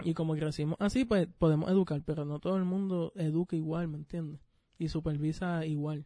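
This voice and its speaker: Over a quiet background, a man with a plain, everyday voice speaks at a fairly high pitch with fairly even intonation. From Puerto Rico. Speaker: podcast co-host. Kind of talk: casual chat.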